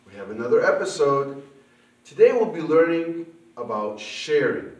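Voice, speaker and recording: The room's echo is audible around this man's voice. He speaks at a fairly slow pace. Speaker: puppet ministry host. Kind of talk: children's ministry lesson talk. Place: home room.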